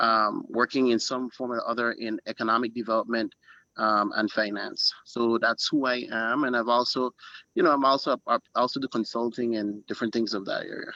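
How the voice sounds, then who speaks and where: A man with an American accent at a moderate pace, bright and sharp in tone, flat and monotone in delivery, in a dry, close sound with no echo. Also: medium pitch for a man. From US Virgin Islands, St. Thomas. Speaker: finance consultant, panel guest. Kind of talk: panel discussion, self-introduction.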